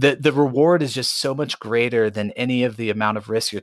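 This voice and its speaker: This man has a normal speaking voice, medium in pitch with ordinary pitch variation, delivered at a fairly quick pace. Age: 30s. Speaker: pastor and options trader. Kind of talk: interview.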